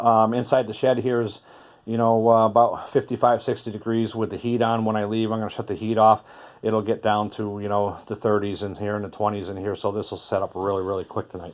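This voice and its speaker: Here a man talks at a fairly quick pace. His intonation is monotone and flat. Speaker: beekeeper. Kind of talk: tutorial. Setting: in a heated shed. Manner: fast; hesitant, many fillers.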